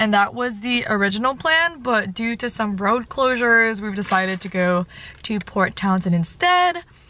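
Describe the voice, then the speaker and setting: A woman speaks with a bright, sharp tone. The sound is dry, with no echo. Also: moderate pace. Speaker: vlogger. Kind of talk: casual vlog chat. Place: car. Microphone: phone near.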